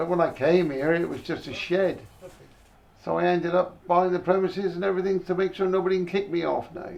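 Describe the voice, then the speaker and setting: Against noticeable background noise, a man with a West Country accent speaks at a fairly quick pace in a high voice. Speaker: slab maker. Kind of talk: interview answer.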